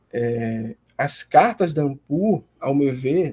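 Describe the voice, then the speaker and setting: A man speaks with lively intonation. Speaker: graduate student presenting a seminar. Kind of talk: class seminar presentation. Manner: hesitant, many fillers.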